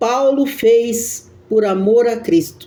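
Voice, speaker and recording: This woman's voice is high. Its pitch rises and falls in a usual manner. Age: 60s. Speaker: evangelical preacher. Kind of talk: devotional sermon. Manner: halting.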